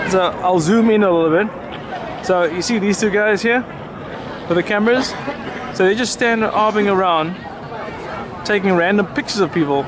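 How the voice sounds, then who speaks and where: Crowd noise sits in the background, and audible room echo surrounds the voice. A man with a high pitch keeps a very even loudness, leaving long, frequent pauses. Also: ordinary pitch variation. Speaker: travel vlogger. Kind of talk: casual vlog narration. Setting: outdoors. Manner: fast.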